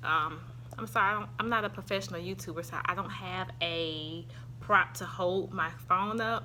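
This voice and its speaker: With a strong Southern US accent, a woman speaks at a moderate pace in a bright, sharp tone with vocal fry, and room echo can be heard. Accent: thick Southern. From US South. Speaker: YouTuber reviewing products. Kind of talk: product review vlog. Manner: casual, hesitant with fillers.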